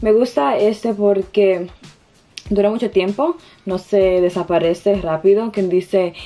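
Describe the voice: A woman talks slowly at a medium pitch. Her tone is dark and mellow, with ordinary pitch variation.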